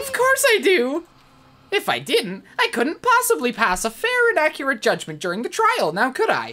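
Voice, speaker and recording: The voice is a put-on character voice with a high pitch. It moves along at a moderate pace. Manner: mockingly cheerful, menacing.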